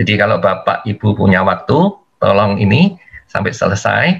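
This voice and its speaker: A man at a moderate pace. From East Java, Indonesia (Malang). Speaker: engineering instructor, workshop speaker. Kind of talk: webinar lecture. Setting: video call webinar.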